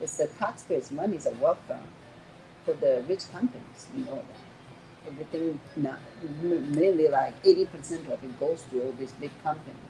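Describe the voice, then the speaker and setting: The loudness swings widely. The pace is moderate. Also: woman. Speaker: restaurant owner. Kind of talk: casual interview. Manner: animated.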